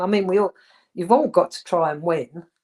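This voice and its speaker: A woman with an English accent, medium pitch and lively intonation, in a dry, close sound with no echo. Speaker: former footballer. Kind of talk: interview.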